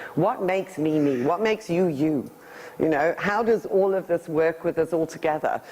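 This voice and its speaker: At a moderate pace, a woman speaks with a fairly low pitch and ordinary variation amid noticeable background noise. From England, then thirty years in South Africa. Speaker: energy healer giving a talk. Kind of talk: presentation to an audience. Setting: talk in front of a live audience.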